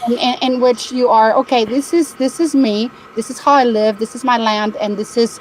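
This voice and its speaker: There is noticeable background noise as a woman with a high pitch talks at a moderate pace with fairly even intonation. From Spain. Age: 60s. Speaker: caller. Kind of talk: casual chat. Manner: halting.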